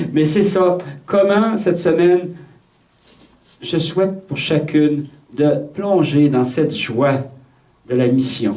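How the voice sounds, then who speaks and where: A man with a Quebec accent speaks at a very slow pace amid audible room echo. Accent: Québécois French. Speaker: priest leading a retreat. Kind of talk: retreat talk. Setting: retreat with audience of nuns. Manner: repeats words, hesitant starts.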